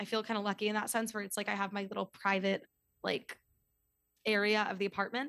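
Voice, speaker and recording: A woman with an American accent speaks at a medium pitch in a bright, sharp tone. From New York City. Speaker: podcast host and yoga teacher. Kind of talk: casual chat. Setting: video call.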